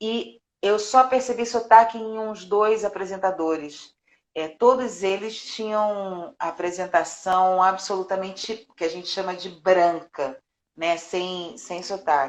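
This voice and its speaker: A woman with a Carioca accent at a medium pitch, a very slow pace, ordinary pitch variation and big swings in loudness. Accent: carioca Brazilian Portuguese. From Rio de Janeiro, Brazil. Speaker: voice actress and dubbing director. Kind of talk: interview. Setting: live stream.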